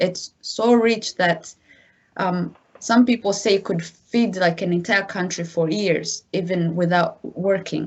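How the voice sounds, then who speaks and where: A woman speaks at a very slow pace with an African accent. Her voice is of medium pitch. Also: fairly even intonation. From DR Congo. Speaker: massacre survivor, guest speaker. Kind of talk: testimony.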